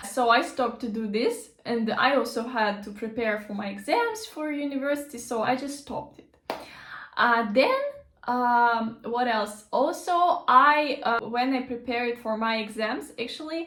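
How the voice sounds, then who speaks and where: A woman's high-pitched, bright, sharp voice with a Russian accent, ordinary pitch variation and a fairly slow pace, with audible room echo. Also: big swings in loudness. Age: 20s. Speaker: language teacher. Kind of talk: casual vlog talk. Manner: halting, many fillers.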